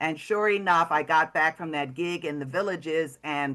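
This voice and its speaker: A woman with an American accent speaks at a fairly quick pace. Her pitch is very deep and low, with ordinary variation. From New York. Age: 70s. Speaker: comedian. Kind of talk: workshop talk.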